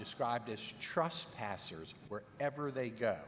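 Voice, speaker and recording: This man has a Virginia accent and speaks at a fairly slow pace with ordinary pitch variation. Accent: Virginia Southern American. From Richmond, Virginia, US South. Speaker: legal scholar witness. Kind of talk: congressional hearing testimony.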